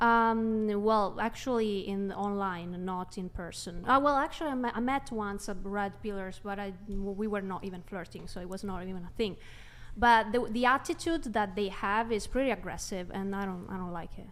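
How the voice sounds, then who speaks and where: Medium in pitch with ordinary variation, a woman speaks at a moderate pace with hardly any pauses. Audible room echo surrounds her voice. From Italy. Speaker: livestream guest. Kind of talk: casual debate. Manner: halting.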